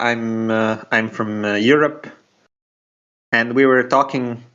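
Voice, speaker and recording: This man talks very slowly in a flat, monotone delivery. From Slovenia. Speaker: podcast guest. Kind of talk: casual political chat. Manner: halting, many restarts.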